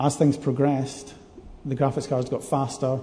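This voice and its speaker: Speaking in a Scottish accent, a man with a fairly high pitch keeps a moderate pace amid audible room echo. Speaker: game programmer. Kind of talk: conference talk. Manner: hesitant, many fillers.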